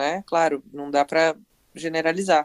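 A woman's voice, dry and close with no echo. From Brazil. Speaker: author and marketing professional. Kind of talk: interview. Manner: run-on sentences.

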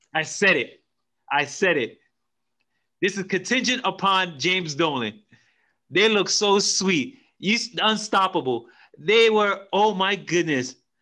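A man speaks at a slow pace with a high pitch. His tone is bright and sharp, and his intonation is lively.

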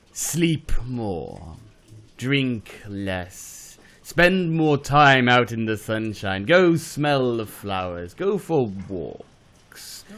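Using a put-on character voice, a man at a medium pitch talks at a very slow pace with very wide pitch swings. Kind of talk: hammy villain monologue. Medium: comedy sketch. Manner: silky, gloating, melodramatic.

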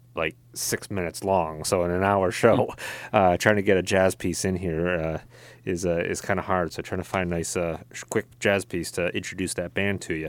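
A man's very deep, low voice, monotone and flat, at a moderate pace, on a very clean recording with a silent background. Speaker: radio host. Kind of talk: radio dj patter. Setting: studio. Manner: chatty.

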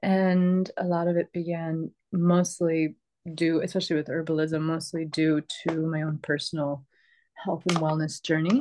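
Against a quiet background, a woman with an American accent speaks in a dark, mellow tone with monotone, flat intonation. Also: fairly low pitch for a woman, moderate pace. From US, upstate New York (Rochester). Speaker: herbalist and permaculture teacher. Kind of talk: interview.

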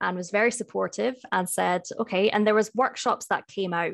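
In a very clean recording with a silent background, a woman with a Scottish accent speaks at a moderate pace with fairly even intonation. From Scotland, Edinburgh. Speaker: IT solutions specialist. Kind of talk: interview.

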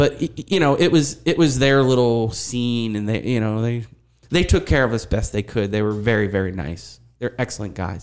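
A man with an American accent talks at a moderate pace in an ordinary speaking voice, his medium pitch carried by lively intonation. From Erie, Pennsylvania. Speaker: university teacher and former punk drummer. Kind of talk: casual chat.

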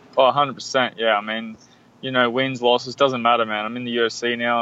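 With an Australian accent, a man speaks at a moderate pace in a medium pitch, his intonation monotone and flat. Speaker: mixed martial arts fighter. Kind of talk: interview.

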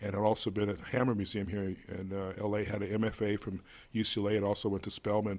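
Over a silent background in a very clean recording, a man talks in a fairly low pitch with monotone, flat intonation. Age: 60s. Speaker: museum executive director. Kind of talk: interview.

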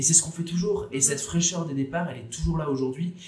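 A man talks against noticeable background noise. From France, Bordeaux. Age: 20s. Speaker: student association founder. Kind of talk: podcast interview. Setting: café.

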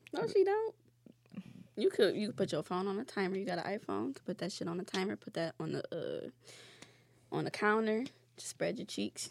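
Long, frequent pauses break up a woman's speech, which moves at a moderate pace. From Detroit, Michigan (east side). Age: 20s. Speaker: podcast guest. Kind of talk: casual chat. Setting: studio.

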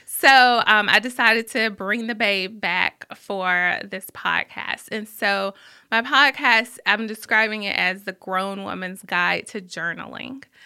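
A woman with a Southern US accent talks at a fairly slow pace, medium in pitch with ordinary pitch variation, on a very clean recording with a silent background. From Birmingham, Alabama. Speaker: journalist and author. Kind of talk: casual interview. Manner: goofy and laughing.

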